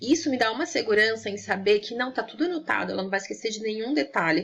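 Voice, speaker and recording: Talking at a very fast pace, a woman uses lively intonation and vocal fry. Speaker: online lecturer on veterinary ethics. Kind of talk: lecture.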